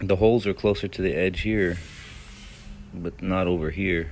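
The pace is moderate. There is light background noise. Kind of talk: tutorial. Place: street. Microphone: phone near.

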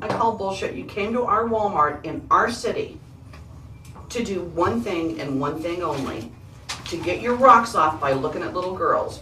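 A woman's pitch swings very widely at a moderate pace, with noticeable background noise behind her. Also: medium pitch for a woman. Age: 50s. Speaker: police detective. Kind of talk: police interrogation. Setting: interrogation room. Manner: confrontational.

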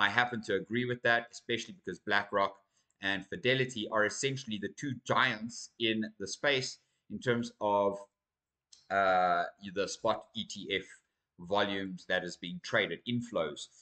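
A man talks at a fairly slow pace in a fairly low pitch, with ordinary pitch variation. His tone is bright and sharp, and the background is quiet. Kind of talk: commentary. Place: home room.

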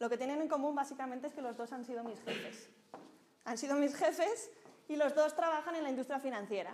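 A woman's high-pitched, animated voice at a fairly quick pace, broken by long, frequent pauses, over light background noise. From Spain, Zaragoza. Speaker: microfinance professional, speaker. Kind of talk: lecture. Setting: stage with audience. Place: hall.

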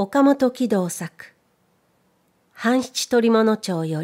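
Its pitch varies in an ordinary way, and the tone of this voice is dark and mellow. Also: woman. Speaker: narrator; voice trainer. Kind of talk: audiobook reading.

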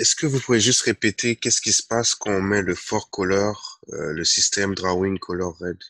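This man speaks at a moderate pace with hardly any pauses, in a fairly low pitch with ordinary pitch variation and a bright, sharp tone, on a dry recording with no echo and a quiet background. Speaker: student. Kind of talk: classroom question. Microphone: video call.

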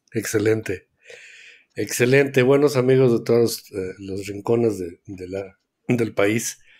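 Very slow speech with long, frequent pauses, big swings in loudness and ordinary pitch variation, in a very clean recording with a silent background. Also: man, medium pitch for a man. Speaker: board game podcast co-host. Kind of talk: casual chat.

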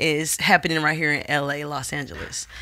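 A woman's very deep, low voice, bright and sharp in tone, at a moderate pace over a quiet background. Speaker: podcast host. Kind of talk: casual podcast talk. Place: studio. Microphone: studio mic.

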